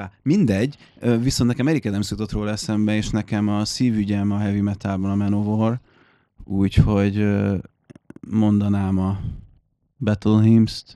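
Speaking at a moderate pace with long, frequent pauses, a man has a fairly low pitch and a dark, mellow tone. His intonation is fairly even. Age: 30s. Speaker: musician, keyboard player in a metal band. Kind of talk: casual chat. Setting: studio.

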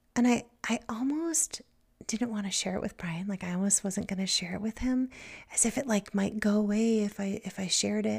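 Her voice medium in pitch and somewhat breathy, a woman speaks at a fairly quick pace with ordinary pitch variation. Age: 40s. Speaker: podcast host, psychotherapist and poet. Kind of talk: personal storytelling monologue. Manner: warm, gentle.

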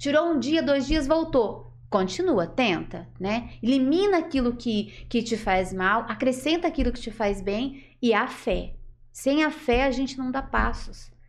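A woman's high-pitched voice, fairly slow in pace, with lively intonation and hardly any pauses. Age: 40s. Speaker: natural therapies practitioner. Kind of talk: interview.

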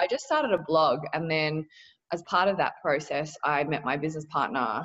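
With a very deep, low pitch, a woman sounds animated and enthusiastic, using ordinary pitch variation. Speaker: fashion entrepreneur and podcaster. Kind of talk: interview. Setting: video call. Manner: animated, enthusiastic.

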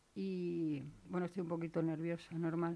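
In a very clean recording with a silent background, the speaker uses fairly even intonation with an Extremaduran accent. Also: woman. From Extremadura, Spain (Valle del Jerte). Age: 50s. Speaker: laid-off retail worker. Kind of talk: radio interview. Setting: studio.

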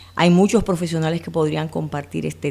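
The recording is very clean, with a silent background. A woman speaks at a fairly quick pace. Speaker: speech therapist and clinical psychologist. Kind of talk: interview.

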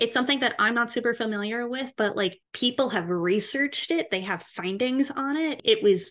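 Over a quiet background, a woman with an unremarkable speaking voice talks at a moderate pace and a fairly high pitch with lively intonation. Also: hardly any pauses. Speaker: podcast co-host. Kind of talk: casual chat.

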